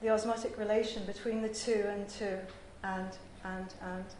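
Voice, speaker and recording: A woman with a medium pitch speaks in a monotone, flat way, with audible room echo and noticeable background noise. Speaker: visual artist giving academic paper. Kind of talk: conference paper reading. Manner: formal.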